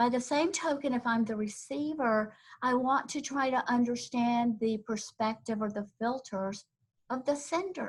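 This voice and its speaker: Her voice is fairly high, in a Southern US accent. This woman uses ordinary pitch variation. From US South, Tennessee. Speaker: corporate trainer. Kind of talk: webinar presentation. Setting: online webinar.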